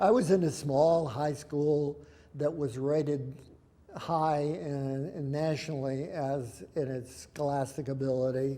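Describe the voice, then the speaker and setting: A man with an American accent speaks at a very slow pace, his fairly high voice carrying a dark, mellow tone. His intonation is fairly even, and audible room echo surrounds him. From Indiana and Pittsburgh area, US. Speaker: war veteran. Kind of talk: oral history interview. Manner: halting.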